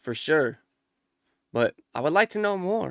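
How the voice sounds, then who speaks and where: Speaking at a moderate pace, a man uses lively intonation and a bright, sharp tone in a dry, close recording with no echo. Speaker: YouTube reactor. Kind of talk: casual chat.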